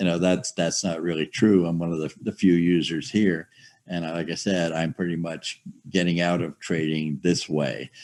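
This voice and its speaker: A man with a very deep, low pitch talks at a moderate pace in a monotone, flat intonation. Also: quiet background. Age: 70s. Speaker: software user, retired trader. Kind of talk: group video call discussion. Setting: video call. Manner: halting, many fillers. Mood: candid, slightly resigned. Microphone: video call.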